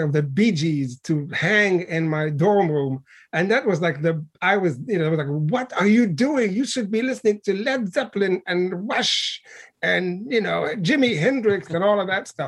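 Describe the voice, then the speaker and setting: A man talks at a moderate pace with lively intonation. His voice sits high in pitch. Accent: Arabic. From Libya, Benghazi. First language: Arabic. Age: 50s. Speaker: poet and professor. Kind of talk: interview. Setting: video call.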